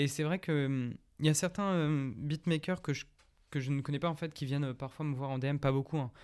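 In a very clean recording with a silent background, an ordinary speaking voice moves at a moderate pace with fairly even intonation. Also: man, fairly high pitch for a man. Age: 20s. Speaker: musician. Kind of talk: casual chat.

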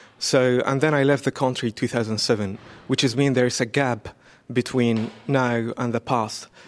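A man with an Arabic accent, medium-pitched, with fairly even intonation, very even loudness and a moderate pace, on a very clean recording with a silent background. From Iraq. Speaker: painter. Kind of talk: interview. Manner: halting.

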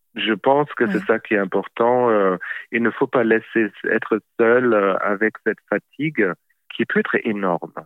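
Speaking at a fairly slow pace and medium pitch, a man keeps his loudness very even, with ordinary pitch variation. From Germany. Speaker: childcare expert. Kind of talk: interview. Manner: halting.

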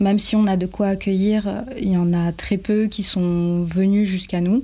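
A woman speaks in a dark, mellow tone at a medium pitch, somewhat breathy, with fairly even intonation. The recording is very clean, with a silent background. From French Guiana. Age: 20s. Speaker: tiny house dweller, 3D artist and illustrator. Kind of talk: testimony.

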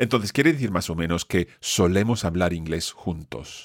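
A man speaks at a moderate pace in a very deep, low pitch with ordinary pitch variation, the sound dry and close with no echo on a very clean recording with a silent background. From Scotland. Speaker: language teacher. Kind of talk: language lesson.

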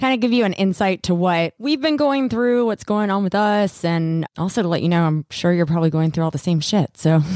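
A woman talks in a plain, everyday voice at medium pitch, fairly quick with hardly any pauses. Her intonation is lively, and the sound is dry and close with no echo. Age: 30s. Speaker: podcast co-host. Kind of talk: casual chat.

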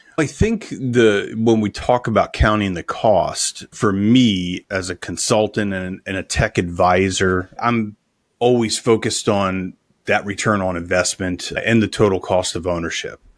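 A man talks at a fairly slow pace in an ordinary speaking voice, fairly low in pitch with fairly even intonation, on a very clean recording with a silent background. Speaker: podcast host. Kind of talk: casual chat.

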